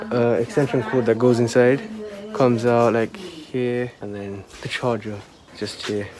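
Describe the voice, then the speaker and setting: Noticeable background noise sits under the recording. A soft-spoken man talks at a medium pitch. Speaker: vlogger. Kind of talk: casual vlog narration. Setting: outdoors in garden.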